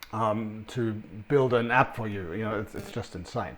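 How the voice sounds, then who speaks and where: With a non-native accent, a man speaks with fairly even intonation. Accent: foreign-sounding, noticeable. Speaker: sales consultant. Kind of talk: business presentation. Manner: hesitant, many fillers.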